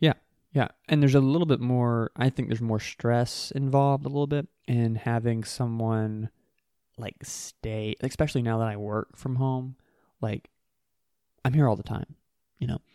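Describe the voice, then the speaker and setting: A man with a medium-pitched voice talks at a moderate pace with fairly even intonation and long, frequent pauses, on a very clean recording with a silent background. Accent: American. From US South, South Carolina (York). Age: 20s. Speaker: entrepreneur. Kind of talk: casual chat. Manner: hesitant, many fillers.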